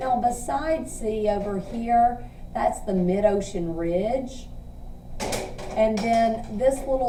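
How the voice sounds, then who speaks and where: A woman's fairly high voice at a very slow pace, with noticeable background noise and audible room echo. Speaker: teacher. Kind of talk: tutorial.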